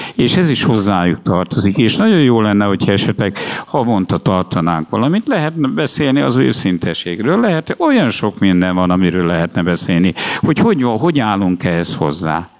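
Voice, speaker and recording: Over noticeable background noise, a man with a fairly low pitch talks at a moderate pace, his pitch swinging very widely while his loudness stays very even. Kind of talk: public talk.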